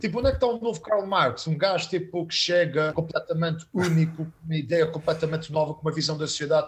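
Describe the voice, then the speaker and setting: The man's voice sits fairly high, moving at a fairly quick clip with ordinary pitch variation. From Azores (São Miguel), Portugal. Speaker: stand-up comedian. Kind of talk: casual chat. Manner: animated.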